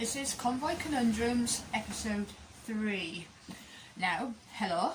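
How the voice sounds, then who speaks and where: A very slow woman's voice, fairly high in pitch with ordinary pitch variation, amid audible room echo and noticeable background noise. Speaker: campervan DIY vlogger. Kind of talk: casual vlog update. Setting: outdoors in a van. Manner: quiet. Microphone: too quiet, mic partly covered.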